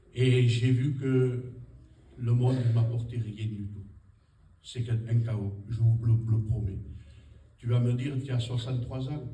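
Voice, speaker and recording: A man talks at a medium pitch with a monotone, flat intonation and a very slow pace. Noticeable background noise and audible room echo are present. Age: 60s. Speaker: church member giving testimony. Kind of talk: testimony.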